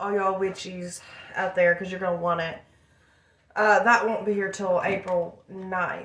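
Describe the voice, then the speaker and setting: A woman's monotone, flat delivery broken by long, frequent pauses. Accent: American. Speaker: vlogger and craft seller. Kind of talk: casual vlog monologue.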